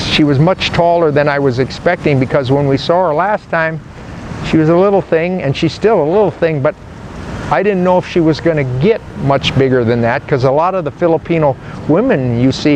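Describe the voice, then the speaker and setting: Speaking with an American accent, a man has a fairly high pitch and ordinary pitch variation. His pace is moderate, his loudness very even, and noticeable background noise runs underneath. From United States. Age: 70s. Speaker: father and grandfather. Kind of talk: interview answer.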